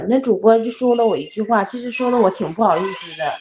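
A woman speaks at a fairly quick pace in an ordinary speaking voice, her fairly high pitch carried by lively intonation. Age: 30s. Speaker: advice-seeking caller. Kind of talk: emotional advice call.

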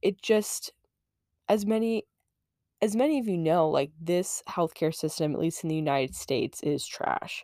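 On a very clean recording with a silent background, a woman with an American accent speaks at a moderate pace in a dark, mellow tone with lively intonation. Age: 20s. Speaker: podcast host. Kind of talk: casual chat. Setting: late night solo recording.

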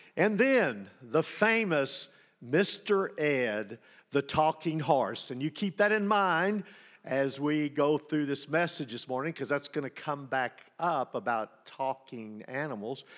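On a very clean recording with a silent background, a man with a fairly high voice and a Texan accent speaks at a very slow pace with lively intonation. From Texas. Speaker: preacher. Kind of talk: sermon. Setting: church.

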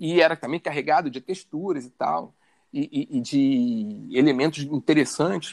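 A man with a Carioca accent at a fairly high pitch and moderate pace, ordinary pitch variation, dry and close sound with no echo. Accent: carioca Brazilian Portuguese. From Rio de Janeiro, north zone suburbs. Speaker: photographer and visual artist. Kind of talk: interview conversation. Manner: halting, many repetitions.

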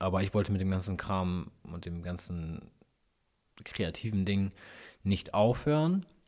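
On a very clean recording with a silent background, a man with a very deep, low pitch uses ordinary pitch variation and takes long, frequent pauses. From northern Germany, East Frisia area. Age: 30s. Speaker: YouTuber and car mechanic hobbyist. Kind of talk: casual solo podcast monologue.

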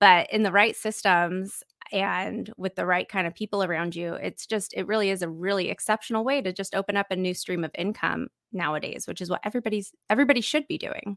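Fairly quick speech from a woman, a plain, everyday voice at medium pitch with ordinary pitch variation. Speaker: online business owner and podcaster. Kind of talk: casual interview chat. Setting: video call livestream.

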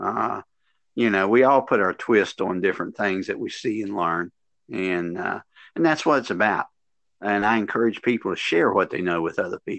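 In an Appalachian accent, a man with a fairly low voice talks at a moderate pace with ordinary pitch variation, recorded dry and close with no echo against a quiet background. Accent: Appalachian Southern US. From West Virginia, US. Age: 60s. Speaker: veteran PE teacher and workshop presenter. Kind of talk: casual interview.

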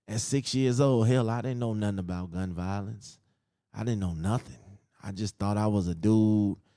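Speaking at a moderate pace with ordinary pitch variation, a man with a dark, mellow tone and fairly low pitch is heard on a very clean recording with a silent background. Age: 30s. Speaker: podcast host. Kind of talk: personal monologue.

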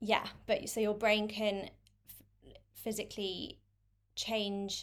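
A woman with a London accent on a very clean recording with a silent background. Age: 20s. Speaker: content creator with chronic illness. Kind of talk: interview. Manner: hesitant with fillers.

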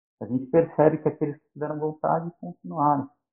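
A man speaks with a normal speaking voice and a fairly high pitch. His pitch varies in an ordinary way. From São Paulo, Brazil. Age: 50s. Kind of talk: podcast interview.

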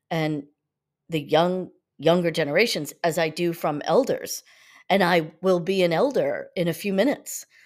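A woman speaks at a fairly slow pace in a fairly low pitch with fairly even intonation and an unremarkable speaking voice, on a very clean recording with a silent background. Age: 50s. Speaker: yoga teacher, podcast host. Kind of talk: spiritual teaching monologue.

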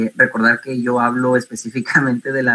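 A man's medium-pitched voice has a bright, sharp tone. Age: 30s. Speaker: civil servant, tabletop RPG player. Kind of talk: panel discussion.

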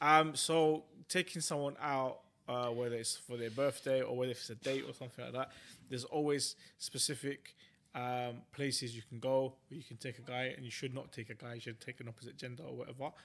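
Speaking at a fairly quick pace in a London accent, a man lets his loudness swing widely. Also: medium pitch for a man, fairly even intonation. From West London. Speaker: podcast co-host. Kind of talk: casual chat.

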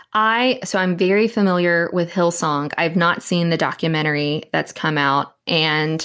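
Heard in a very clean recording with a silent background, a woman with an American accent and a fairly low pitch speaks at a moderate pace in an unremarkable speaking voice. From Southeast Texas. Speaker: writer and church abuse survivor advocate. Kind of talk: interview conversation.

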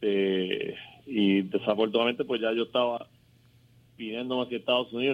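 This is a man with a medium pitch. He has an unremarkable speaking voice. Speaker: former basketball player. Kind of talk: phone interview. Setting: phone call.

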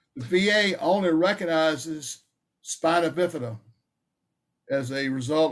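This man has a Southern US accent. The rise and fall of his voice is lively. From North Carolina. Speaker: Vietnam veteran, veteran advocate. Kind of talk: interview.

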